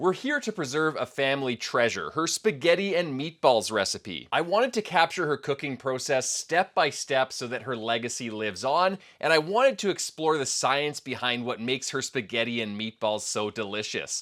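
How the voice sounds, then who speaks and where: A man speaks at a moderate pace in a fairly high pitch, with lively intonation and an unremarkable speaking voice. The recording is very clean, with a silent background. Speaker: cooking science presenter. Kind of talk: narration to camera.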